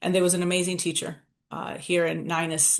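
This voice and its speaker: Against a quiet background, a woman speaks at a fairly low pitch in a monotone, flat intonation. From Southwest Detroit, US Midwest. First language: Spanish. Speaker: nonprofit founder. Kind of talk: interview, personal life story. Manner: conversational, frequent fillers.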